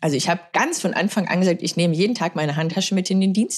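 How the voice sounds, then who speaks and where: A woman rushes through her words at a very fast pace in a fairly low pitch. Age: 30s. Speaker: former fighter pilot and crisis management lecturer. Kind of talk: interview.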